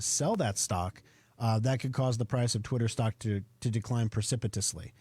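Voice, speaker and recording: In a very clean recording with a silent background, a man with an American accent speaks at a very fast pace. His medium pitch has a dark, mellow tone and sounds somewhat breathy. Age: 40s. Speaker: radio show host and computer company owner. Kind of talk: radio tech talk show. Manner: casual, conversational with fillers.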